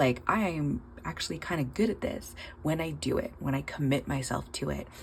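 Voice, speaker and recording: Over noticeable background noise, a woman with a very deep, low pitch speaks at a moderate pace with ordinary pitch variation. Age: 30s. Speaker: budgeting vlogger, nail tech. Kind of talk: casual vlog monologue. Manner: hesitant, many fillers.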